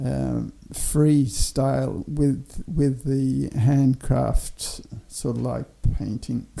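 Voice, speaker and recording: A man speaks with an Australian accent. His pace is very slow. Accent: Australian twang. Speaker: artist. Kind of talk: casual interview chat. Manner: hesitant, many fillers.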